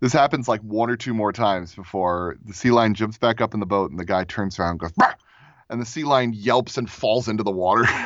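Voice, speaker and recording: A man with a fairly low voice talks at a fairly quick pace in a plain, everyday voice, his pitch varying in an ordinary way. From Florida, US. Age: 30s. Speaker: audio drama creator. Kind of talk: personal storytelling.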